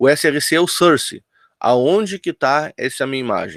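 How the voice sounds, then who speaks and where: A man speaks with ordinary pitch variation in a dry, close recording with no echo. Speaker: teacher. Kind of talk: online lecture. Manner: fast.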